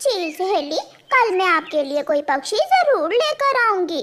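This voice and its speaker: A woman puts on a cartoonish character voice at an extremely high pitch. She speaks at a fairly slow pace. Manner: ingratiating.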